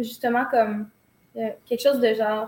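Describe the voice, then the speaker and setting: A woman with a Quebec accent. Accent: Québécois French. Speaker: dancer and choreographer. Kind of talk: interview. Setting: office.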